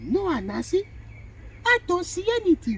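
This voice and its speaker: A put-on character voice at an extremely high pitch, moderate pace, and clear background noise. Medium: read story. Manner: calm, innocent-sounding.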